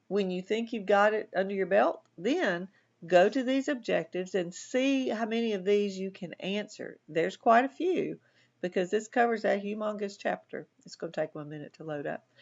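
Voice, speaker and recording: Woman with a Southern US accent, medium pitch and moderate pace, lively intonation and big swings in loudness. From US South. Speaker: college instructor. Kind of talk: lecture. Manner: sometimes mumbles; casual, conversational.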